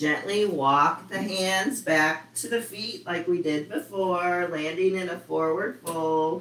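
With hardly any pauses, a woman speaks at a very slow pace in a fairly low pitch, using ordinary pitch variation and a warm, calm tone over noticeable background noise. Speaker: yoga instructor. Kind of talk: live online yoga class, guiding poses. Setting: video call. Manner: calm, instructive, slow and steady cues; warm, friendly, chatty with students.

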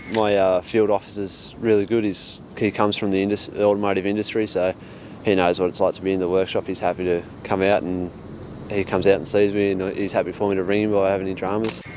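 Over light background noise with a dry sound and no echo, a man with an Australian accent talks at a very fast pace, his fairly low pitch held in a monotone, flat intonation. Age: 20s. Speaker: apprentice mechanic. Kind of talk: interview testimonial. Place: street.

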